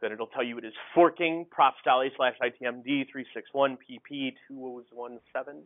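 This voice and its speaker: A man at a medium pitch talks in an ordinary speaking voice, keeping his intonation fairly even. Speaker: university instructor. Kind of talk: lecture. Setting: classroom with projector. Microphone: poor audio quality early in recording.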